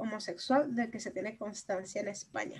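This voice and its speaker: Somewhat breathy, this woman speaks with fairly even intonation. Her pace is moderate. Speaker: podcast co-host. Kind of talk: casual chat.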